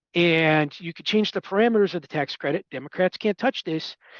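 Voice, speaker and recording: Speech moves at a fairly quick pace over a quiet background. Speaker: policy analyst. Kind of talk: analyst briefing. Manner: fast.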